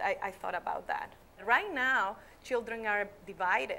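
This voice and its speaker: With a Nicaraguan accent, a woman speaks at a medium pitch with ordinary pitch variation and a bright, sharp tone. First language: Spanish. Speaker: schoolteacher. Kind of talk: interview. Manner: halting.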